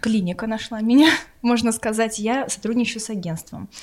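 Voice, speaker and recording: Rattling along at a very fast pace, a woman speaks at a medium pitch. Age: 30s. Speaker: egg donor, TV journalist. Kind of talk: interview.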